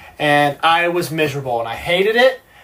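A man talks at a fairly high pitch with ordinary pitch variation. Noticeable background noise runs underneath. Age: 20s. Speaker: yacht deckhand, reality TV cast member. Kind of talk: casual interview. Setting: on a sailboat.

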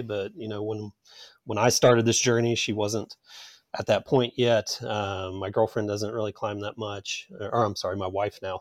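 A man's fairly low voice at a moderate pace with fairly even intonation, in a very clean recording over a silent background. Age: 40s. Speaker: rock climber. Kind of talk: casual interview. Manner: hesitant, many fillers.

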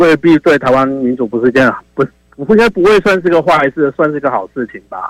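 A man with a Taiwanese accent speaks at a fairly high pitch, the sound dry and close with no echo. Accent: Taiwanese Mandarin. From Taiwan, Taichung. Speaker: caller. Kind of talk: call-in opinion.

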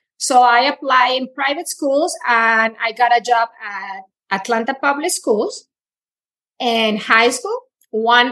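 Her high pitch moves with ordinary variation as the woman speaks at a very slow pace. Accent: Spanish. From Colombia. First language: Spanish. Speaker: Spanish teacher. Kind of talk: interview, personal story.

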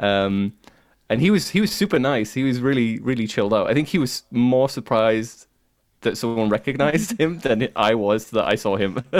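A man at a medium pitch and moderate pace, with ordinary pitch variation and very even loudness, in a very clean recording with a silent background. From Cumbria, northern England. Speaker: podcaster and YouTuber, music. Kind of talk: casual chat, interview.

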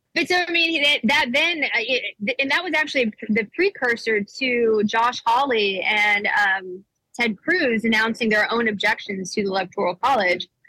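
In an American accent, a woman speaks with an unremarkable speaking voice at a fairly high pitch. Her intonation is lively, her pace moderate, and the sound is dry and close with no echo. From US South, Nashville, Tennessee. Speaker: political activist and undercover video journalist. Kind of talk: casual interview. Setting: airport.

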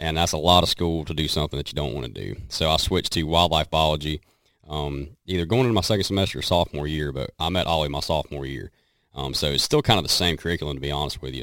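A man with a Southern US accent talks very fast in a very deep, low voice with vocal fry and ordinary pitch variation, on a very clean recording with a silent background. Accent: Southern twang. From western North Carolina. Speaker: country singer and hunter. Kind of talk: casual chat.

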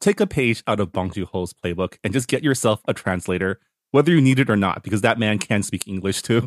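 Recorded dry and close with no echo, a man talks at a fairly quick pace in a fairly low pitch with ordinary pitch variation. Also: very clean recording, silent background. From Toronto, Canada. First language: bilingual English and Chinese. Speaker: podcast co-host. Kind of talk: casual book discussion.

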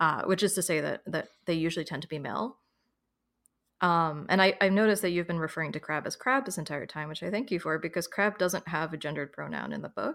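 On a very clean recording with a silent background, a woman with an American accent speaks at a very fast pace in a fairly low pitch, with ordinary pitch variation and vocal fry. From New York, US. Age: 30s. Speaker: author and illustrator. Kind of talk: casual interview.

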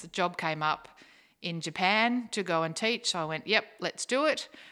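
With an Australian accent, a woman speaks at a fairly slow pace in a bright, sharp tone with ordinary pitch variation, on a very clean recording with a silent background. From South Australia, Naracoorte. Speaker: secondary school teacher. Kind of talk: casual chat.

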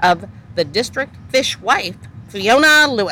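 A woman's voice sounds bright and sharp, with vocal fry. Her pitch swings very widely. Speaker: podcast host. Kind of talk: casual chat. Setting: outdoors. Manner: animated.

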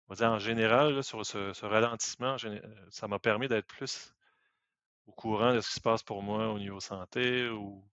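A man speaks at a moderate pace with a medium pitch. He leaves long, frequent pauses. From Quebec. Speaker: IT professional. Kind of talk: casual chat.

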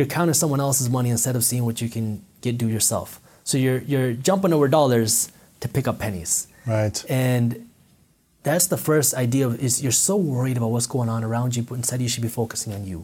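Somewhat breathy and dark, mellow in tone, a man speaks at a fairly quick pace with medium pitch and ordinary pitch variation. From US, child of Punjabi Indian immigrants.

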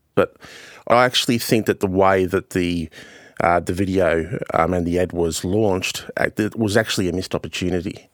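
Very deep, low male voice at a moderate pace, fairly even in intonation, dry and close with no echo, in a very clean recording against a silent background. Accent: Australian. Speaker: journalist and commentator. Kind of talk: news podcast interview.

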